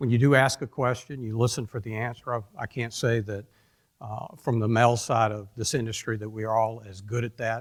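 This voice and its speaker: This man has a Georgia accent and a medium pitch, speaking fairly quickly in a flat, monotone way. His loudness swings widely, and the recording is very clean with a silent background. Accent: Georgia southern. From US South, Atlanta, Georgia. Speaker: industry executive speaker. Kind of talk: conference talk. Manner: halting.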